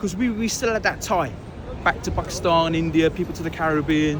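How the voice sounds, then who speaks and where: A man talks fairly quickly in a high voice, with noticeable noise behind him. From London, England (Pakistani family). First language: Urdu or Punjabi. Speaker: interviewee, hip hop DJ and actor. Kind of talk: casual interview. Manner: animated.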